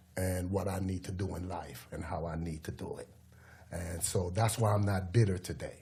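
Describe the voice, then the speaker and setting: Amid audible room echo, a man with a very deep, low pitch and a dark, mellow tone speaks at a moderate pace, somewhat breathy, with fairly even intonation. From Jamaica, Kingston. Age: 50s. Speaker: former prisoner, youth mentor. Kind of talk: podcast interview.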